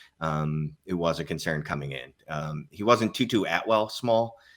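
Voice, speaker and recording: A man with a Philadelphia accent speaks in a very deep, low pitch with ordinary pitch variation. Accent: Philadelphia accent, noticeable. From US Northeast, Philadelphia. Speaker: fantasy football analyst. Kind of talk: casual podcast discussion.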